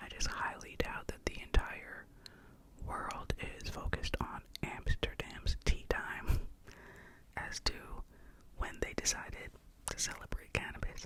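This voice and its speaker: Whispering at a fairly slow pace, a woman leaves long, frequent pauses, and her loudness swings widely. Noticeable background noise is present. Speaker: ASMR artist. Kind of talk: ASMR educational talk. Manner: soft-spoken.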